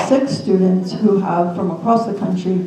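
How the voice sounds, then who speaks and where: Speaking at a fairly slow pace with an American accent, a woman is heard through audible room echo and noticeable background noise. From New Jersey. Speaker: suicide prevention nonprofit representative, suicide loss survivor. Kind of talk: panel presentation.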